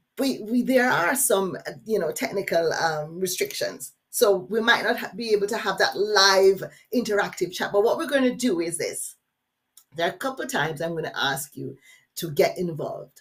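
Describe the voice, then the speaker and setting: A woman speaks at a moderate pace in an animated, somewhat breathy voice. Her pitch swings very widely. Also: medium pitch for a woman. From Jamaica. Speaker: workshop facilitator. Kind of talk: webinar workshop. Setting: online webinar.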